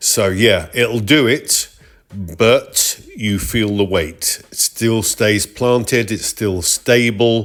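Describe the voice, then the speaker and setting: On a very clean recording with a silent background, a man with a British accent speaks in a relaxed tone. His pace is very slow and his pitch variation ordinary. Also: medium pitch for a man. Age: 60s. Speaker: retired motorcyclist, vlogger. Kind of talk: ride review narration. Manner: relaxed, conversational.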